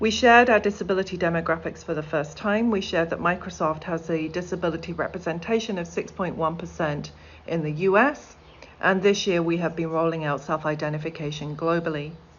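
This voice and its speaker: A woman talks at a fairly quick pace with ordinary pitch variation, and the room echo is audible. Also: fairly low pitch for a woman. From middle of England. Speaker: corporate accessibility executive. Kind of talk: conference keynote talk.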